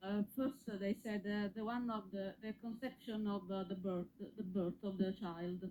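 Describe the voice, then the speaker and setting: A woman with a non-native accent at medium pitch, fairly even intonation, a moderate pace and hardly any pauses, with noticeable background noise. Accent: foreign accent, noticeable. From Italy. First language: Italian. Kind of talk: call-in conversation. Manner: halting.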